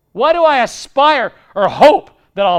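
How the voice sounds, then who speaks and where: Very wide pitch swings mark this man's animated tone. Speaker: pastor. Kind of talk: sermon. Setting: church.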